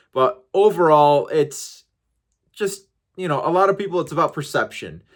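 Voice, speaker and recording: The speaker has an American accent and ordinary pitch variation. The recording is very clean with a silent background. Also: man, high pitch for a man, moderate pace. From USA. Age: 40s. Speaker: podcast host. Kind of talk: casual chat.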